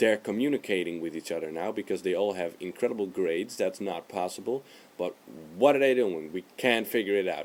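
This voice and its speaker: A man with a non-native accent at a moderate pace. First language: not English. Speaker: video blogger. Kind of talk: casual vlog monologue. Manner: hesitant, with fillers.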